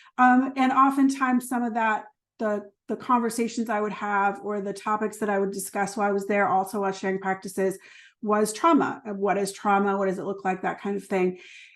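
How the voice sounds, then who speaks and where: A woman at a medium pitch talks at a fairly quick pace with fairly even intonation. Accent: slight New Jersey. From New Jersey. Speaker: trauma therapist and educator. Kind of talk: online workshop presentation. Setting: video call. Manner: filler-heavy, conversational.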